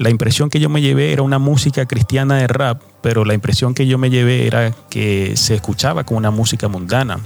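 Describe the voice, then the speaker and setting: A man with a medium pitch speaks at a fairly quick pace, using ordinary pitch variation. Noticeable background noise sits behind him. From New York City, Spanish-speaking immigrant family. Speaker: evangelical podcaster sharing prophetic dreams. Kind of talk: religious testimony and exhortation.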